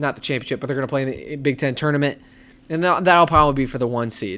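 This man's animated tone sits at a medium pitch, with ordinary pitch variation. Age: 20s. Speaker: sports podcast host. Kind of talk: solo sports commentary.

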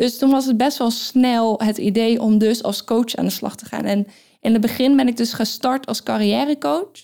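A woman at a fairly high pitch with a dark, mellow tone, ordinary pitch variation and a moderate pace. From Netherlands, Brabant. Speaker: business coach and firefighter. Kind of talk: interviewed in casual conversation. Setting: recording in Austria with two interviewers.

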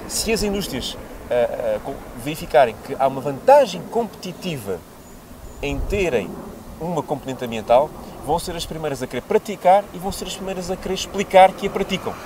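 Over noticeable background noise, a man speaks in a high voice with lively intonation and big swings in loudness. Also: moderate pace. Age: 30s. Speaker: politician, parliamentary candidate. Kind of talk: political interview.

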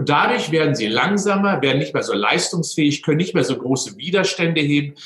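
With an unremarkable speaking voice, a man talks at a fairly quick pace using lively intonation. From Westphalia, Germany (near Unna). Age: 60s. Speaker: sports scientist. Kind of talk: interview.

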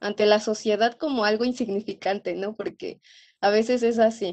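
An ordinary speaking voice, female and fairly high, its intonation fairly flat. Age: 20s. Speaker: veterinary student. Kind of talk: interview.

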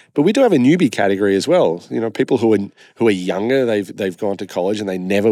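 Here a man talks at a very fast pace, his pitch fairly low and his tone dark and mellow. The recording is very clean, with a silent background. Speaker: consumer brand CEO. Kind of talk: interview. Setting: conference exhibit floor.

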